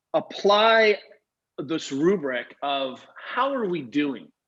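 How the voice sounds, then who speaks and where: Speaking at a high pitch, a man uses lively intonation and an animated tone. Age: 40s. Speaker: physical therapist and coach. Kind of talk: interview. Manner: fast.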